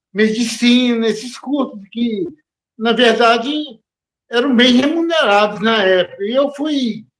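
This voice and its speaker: A man's extremely high-pitched voice at a very slow pace, with ordinary pitch variation. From Brazil, Belo Horizonte (Minas Gerais). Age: 60s. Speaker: poet, former chemical engineer. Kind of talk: interview. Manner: halting.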